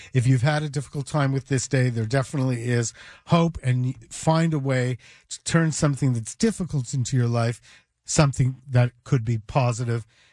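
Recorded dry and close with no echo against a quiet background, a man speaks at a moderate pace with medium pitch, a somewhat breathy quality and fairly even intonation. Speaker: radio host and psychologist. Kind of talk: moderated panel discussion.

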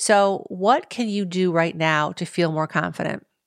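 On a very clean recording with a silent background, a woman with an ordinary speaking voice talks at a fairly slow pace, her fairly low pitch showing ordinary pitch variation. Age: 50s. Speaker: dating podcast host. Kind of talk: solo podcast monologue.

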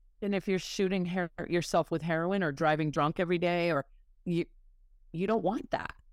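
A woman talks at a moderate pace in an American accent, with fairly even intonation and a fairly low pitch. Hers is an unremarkable speaking voice, recorded in a dry, close sound with no echo. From US Northeast, Massachusetts. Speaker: person in recovery. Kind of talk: interview.

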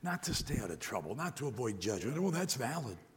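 Somewhat breathy, a man with an American accent speaks with very wide pitch swings. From US Midwest, Detroit area. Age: 60s. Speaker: preacher. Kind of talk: sermon. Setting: church.

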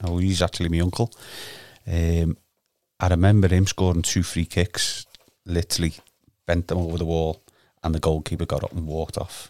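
A man with a Liverpool accent speaks at a very deep, low pitch in a dark, mellow tone, monotone and flat, at a fairly quick pace with long, frequent pauses. The recording is very clean and silent in the background, with a dry, close sound and no echo. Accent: Liverpool (Scouse). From Liverpool, Garston. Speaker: amateur footballer. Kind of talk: casual chat.

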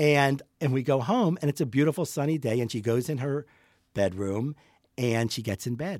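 A man with an ordinary speaking voice and an American accent, medium in pitch, at a moderate pace with ordinary pitch variation, on a very clean recording with a silent background. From US, Pittsburgh. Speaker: portrait photographer. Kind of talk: casual interview chat. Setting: in person, studio.

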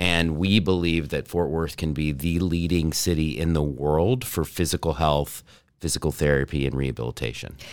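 A man with an American accent speaks at a moderate pace in a very deep, low voice with ordinary pitch variation. The recording is very clean, with a silent background. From North Texas. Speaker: entrepreneur, startup accelerator director. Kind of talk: podcast interview.

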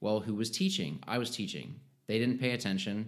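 This man uses a normal speaking voice and talks at a fairly quick pace. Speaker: pharmacist. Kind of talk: casual chat.

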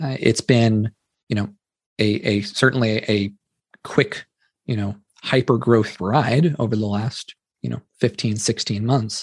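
With a Californian accent, a man talks at a medium pitch and a fairly slow pace, using fairly even intonation and long, frequent pauses, in a dry, close sound with no echo. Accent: General American (Californian). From US West Coast, Silicon Valley. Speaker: entrepreneur, company founder. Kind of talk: interview conversation.

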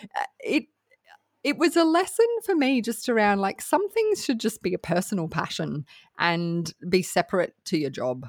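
A woman with an Australian accent swings her pitch very widely, heard in a dry, close sound with no echo. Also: fairly high pitch for a woman, moderate pace. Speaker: podcast producer. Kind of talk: casual chat.

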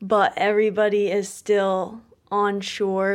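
A slight Midwestern accent in a very clean recording with a silent background. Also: woman. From Maine. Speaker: poet. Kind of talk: interview; poetry reading.

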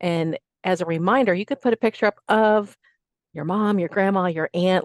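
A woman with an unremarkable speaking voice talks at a moderate pace with a medium pitch and ordinary pitch variation, in a dry, close sound with no echo over a quiet background. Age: 50s. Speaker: fitness instructor and personal trainer. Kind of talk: casual chat.

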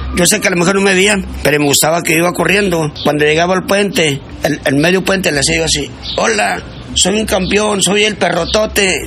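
Speaking at a fairly quick pace with a northern Mexican accent, a man keeps a high pitch, ordinary pitch variation and very even loudness, with noticeable background noise and audible room echo. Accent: Juárez border Spanish. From northern Mexico border, Ciudad Juárez. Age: 60s. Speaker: amateur barefoot runner. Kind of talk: interview.

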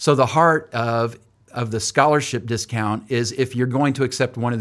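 A man with an American accent and a normal speaking voice talks at a medium pitch and a moderate pace, with ordinary pitch variation. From California (Oildale, near Bakersfield). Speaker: ministry leader and university program director. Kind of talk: interview.

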